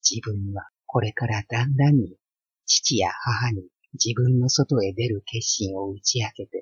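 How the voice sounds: Nothing much sounds in the background. The reading voice is natural, and its pitch varies in an ordinary way.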